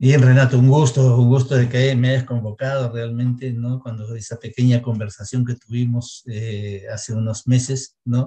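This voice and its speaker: A man's medium-pitched, somewhat breathy voice with a dark, mellow tone, monotone and flat, at a moderate pace with hardly any pauses, against a quiet background. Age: 60s. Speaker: dentist. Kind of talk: interview.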